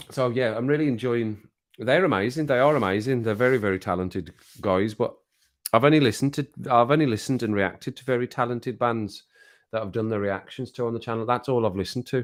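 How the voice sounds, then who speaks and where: Very fast speech with ordinary pitch variation on a very clean recording with a silent background. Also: man, medium pitch for a man. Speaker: YouTube livestreamer and music reactor. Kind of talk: casual live stream chat.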